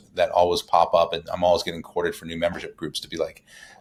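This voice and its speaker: Very fast, a man talks with an American accent. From Boston area, US. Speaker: community executive. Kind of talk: podcast interview.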